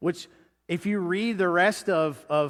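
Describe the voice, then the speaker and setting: In a high pitch, a man talks at a fairly slow pace. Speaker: pastor preaching a sermon. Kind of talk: church sermon, spoken to a congregation. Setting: church sanctuary with in-person congregation and online stream.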